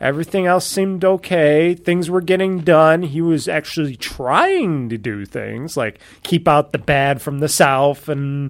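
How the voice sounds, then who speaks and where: Ordinary pitch variation from a man, delivered at a moderate pace. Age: 30s. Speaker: podcast host. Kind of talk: casual chat.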